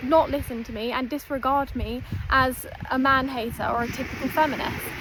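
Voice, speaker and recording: Against noticeable background noise, a woman with a high pitch talks at a moderate pace with fairly even intonation. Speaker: self-development content creator. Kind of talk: direct-to-camera talk. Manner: emphatic, repetitive.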